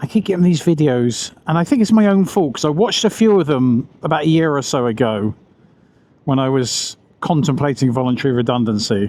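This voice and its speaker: A man at a fairly quick pace, lively intonation and very even loudness throughout. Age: 50s. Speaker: food delivery rider vlogger. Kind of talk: casual vlog monologue while riding. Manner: halting, self-correcting.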